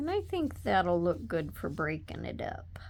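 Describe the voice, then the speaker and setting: The talking from this woman is very slow. The room echo can be heard. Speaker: papercraft tutorial creator. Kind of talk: tutorial. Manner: soft-spoken; casual.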